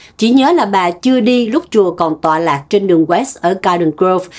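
Hers is an ordinary speaking voice, a woman at medium pitch moving at a moderate pace with lively intonation. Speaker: news show co-host. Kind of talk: news reading. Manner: formal.

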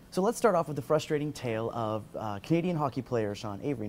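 Light background noise sits behind the recording. A man speaks at a very fast pace. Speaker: video blog host. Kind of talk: news vlog commentary. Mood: lightly wry, engaged. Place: office.

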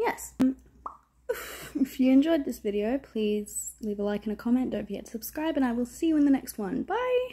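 A woman's high-pitched voice at a moderate pace, with ordinary pitch variation. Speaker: vlogger. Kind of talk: casual vlog outro. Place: home room. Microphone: phone near.

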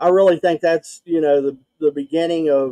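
A man with an Appalachian accent speaks at a moderate pace in a fairly high pitch and a dark, mellow tone. His intonation is fairly even, with a dry sound with no echo and a quiet background. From West Virginia. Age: 40s. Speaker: podcaster guest; show host. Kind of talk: casual chat. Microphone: video call.

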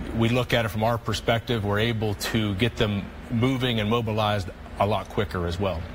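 A man talks in a fairly low pitch with fairly even intonation. Noticeable background noise runs behind him. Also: fairly quick pace. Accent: American. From US, West Virginia northern panhandle. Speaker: orthopedic surgeon. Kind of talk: interview. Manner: hesitant, many fillers.

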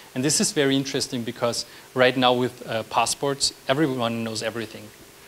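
At a fairly quick pace, a man with a medium pitch and fairly bright tone keeps his intonation fairly even.

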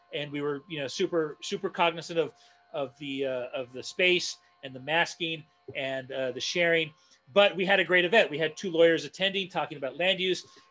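A man talks at a fairly quick pace in a bright, sharp tone with ordinary pitch variation. His loudness swings widely. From Northeast Los Angeles; Los Angeles. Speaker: community activist and design educator; design educator. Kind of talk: online presentation and Q&A. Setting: video call. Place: home room. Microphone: earbuds.

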